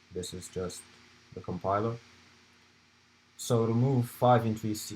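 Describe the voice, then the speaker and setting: A man with a non-native accent speaks at a fairly low pitch in a somewhat breathy voice, his fairly even intonation broken by long, frequent pauses. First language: not English. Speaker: student club presenter. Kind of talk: lecture. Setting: live stream. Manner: halting.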